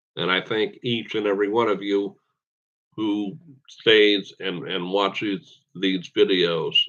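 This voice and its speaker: A man with an American accent, fairly low pitch, fairly even intonation and a very slow pace. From Pittsburgh, western Pennsylvania. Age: 50s. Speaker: gaming YouTuber. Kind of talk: casual livestream chat. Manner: halting, with repeated words.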